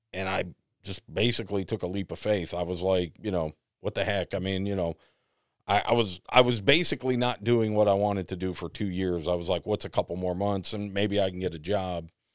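Recorded dry and close with no echo, a man with an American accent speaks at a fairly quick pace with a very deep, low pitch and fairly even intonation. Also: very clean recording, silent background. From US Northeast. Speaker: radio host. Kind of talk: casual chat.

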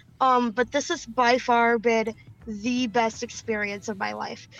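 An animated woman's voice, fairly high in pitch, with an American accent and music in the background. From Michigan. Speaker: cannabis activist. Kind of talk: casual chat. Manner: fast.

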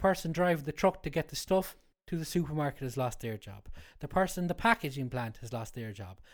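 A man in an Irish accent at a fairly quick pace, with very wide pitch swings and big swings in loudness, on a very clean recording with a silent background. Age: 30s. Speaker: chef. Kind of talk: casual chat. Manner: halting.

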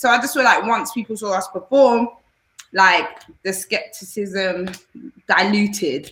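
With a London accent, a woman talks at medium pitch with ordinary pitch variation and long, frequent pauses. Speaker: dancer and singer. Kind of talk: interview.

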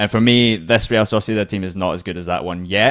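Over a silent background in a very clean recording, a man with an unremarkable speaking voice talks at a fairly quick pace with ordinary pitch variation. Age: 30s. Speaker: football journalist and podcast host. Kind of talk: casual chat.

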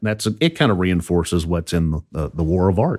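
A man with an American accent, very deep and low in pitch, at a fairly quick pace, on a very clean recording with a silent background. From southern Indiana. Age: 50s. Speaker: financial advisor. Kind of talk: interview.

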